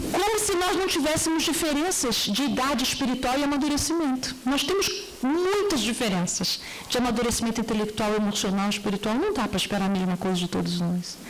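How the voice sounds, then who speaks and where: A high-pitched woman talks at a fairly quick pace with very wide pitch swings but very even loudness. Audible room echo and noticeable background noise are present. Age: 60s. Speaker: speaker at a Spiritist gathering. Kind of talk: panel discussion talk.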